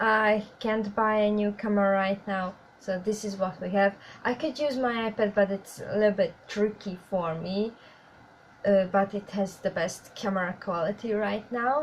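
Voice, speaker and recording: A woman's medium-pitched voice in a Hungarian accent, at a moderate pace with fairly even intonation. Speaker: YouTuber. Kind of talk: casual vlog talk to viewers. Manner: halting, with fillers.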